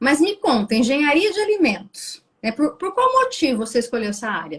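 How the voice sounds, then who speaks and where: A woman speaks at a high pitch and a moderate pace. Her pitch swings are very wide. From Brazil, Rondônia (Pimenta Bueno). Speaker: interviewer. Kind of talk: interview.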